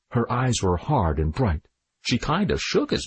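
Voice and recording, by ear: Reading aloud in a natural voice, quiet background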